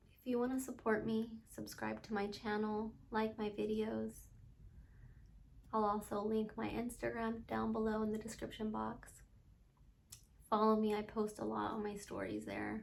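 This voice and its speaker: Taking long, frequent pauses, a woman talks at a moderate pace in a space with audible room echo. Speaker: vlogger sharing survivor story. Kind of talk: personal testimony vlog. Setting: home, late at night.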